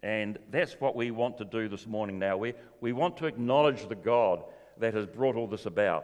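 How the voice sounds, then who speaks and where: A man with a New Zealand accent and ordinary pitch variation. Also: medium pitch for a man, moderate pace. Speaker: church event MC. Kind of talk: announcements. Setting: church. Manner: jokey, playful.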